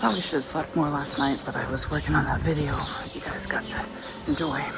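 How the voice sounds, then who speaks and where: A woman talks at a very fast pace with a very deep, low pitch and fairly even intonation. Music plays in the background, and room echo is audible. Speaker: travel vlogger. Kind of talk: walking vlog. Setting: outdoors walking.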